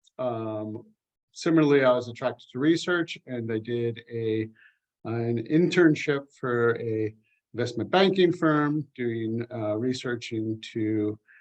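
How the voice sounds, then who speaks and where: A man with an American accent at a fairly slow pace, with ordinary pitch variation. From California, USA. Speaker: UX researcher. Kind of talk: interview. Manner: halting, many fillers.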